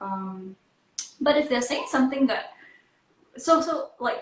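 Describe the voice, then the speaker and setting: This woman's pitch swings very widely as she talks at a moderate pace. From Singapore. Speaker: psychologist. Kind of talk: interview. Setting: video call. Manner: halting.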